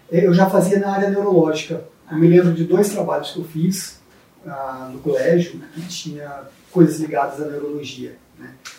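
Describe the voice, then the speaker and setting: With a high pitch and fairly even intonation, this man keeps a moderate pace. His loudness swings widely. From Brazil, interior of Espírito Santo. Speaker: neurologist and university professor. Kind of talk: interview.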